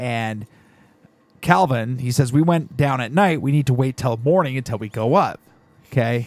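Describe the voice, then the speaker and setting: A man talks in an animated tone at medium pitch. His pace is fairly slow, with ordinary pitch variation. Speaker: podcast host. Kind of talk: casual comedy chat. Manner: animated, joking.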